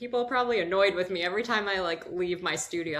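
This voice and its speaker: A woman talks at a very fast pace with lively intonation, amid noticeable background noise and audible room echo. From Washington DC area, US. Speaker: ceramic artist and workshop program administrator. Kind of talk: casual interview chat.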